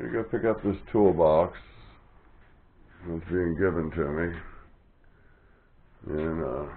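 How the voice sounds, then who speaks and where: A man speaks at a fairly slow pace in a very deep, low pitch, with long, frequent pauses and ordinary pitch variation. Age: 60s. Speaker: hobby machinist. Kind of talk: workshop tutorial. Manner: casual, hesitant with fillers.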